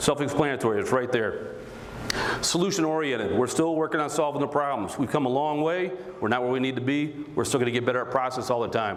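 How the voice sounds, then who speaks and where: The speaker has an American accent and talks at a very fast pace with ordinary pitch variation. Noticeable background noise and audible room echo are present in the recording. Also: man. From US Midwest, Michigan (Romulus). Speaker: mayor. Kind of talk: political speech. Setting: stage with audience, high school. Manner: animated.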